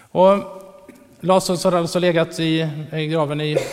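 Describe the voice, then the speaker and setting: Over noticeable background noise, a man speaks at a moderate pace and a fairly high pitch with monotone, flat intonation. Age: 40s. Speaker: preacher. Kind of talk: sermon.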